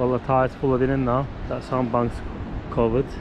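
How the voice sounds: A man talks at a moderate pace with little pitch movement. Clear background noise can be heard. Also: medium pitch for a man.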